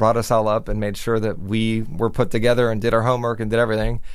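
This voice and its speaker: This man has an American accent and a medium pitch. He has an unremarkable speaking voice. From Miami, Florida. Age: 40s. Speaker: television news executive producer. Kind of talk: interview. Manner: casual with frequent fillers.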